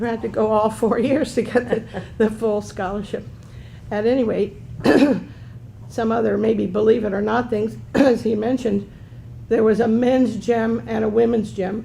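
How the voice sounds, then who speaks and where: Using a dark, mellow tone with vocal fry, a woman with a fairly high pitch speaks in a flat monotone at a moderate pace, leaving long, frequent pauses. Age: 70s. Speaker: panelist, former college athlete. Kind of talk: panel discussion.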